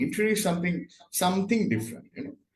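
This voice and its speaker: A man with a Bengali accent and very wide pitch swings. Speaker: interior design consultant. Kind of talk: interview. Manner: halting.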